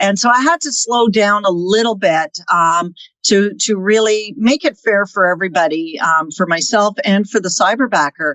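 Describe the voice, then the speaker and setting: A woman's unremarkable speaking voice at a medium pitch, with lively intonation, a moderate pace and hardly any pauses. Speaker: real estate team managing partner. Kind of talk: podcast interview.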